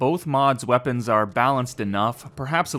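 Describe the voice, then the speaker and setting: Using a normal speaking voice, a man at medium pitch talks at a fairly quick pace with ordinary pitch variation. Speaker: video game mod reviewer. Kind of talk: game review narration.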